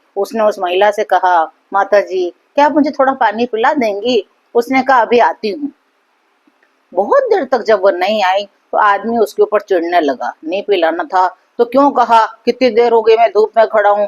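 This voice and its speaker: A woman uses a normal speaking voice with ordinary pitch variation, recorded dry and close with no echo. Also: fairly high pitch for a woman. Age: 60s. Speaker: motivational speaker. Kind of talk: motivational talk with story.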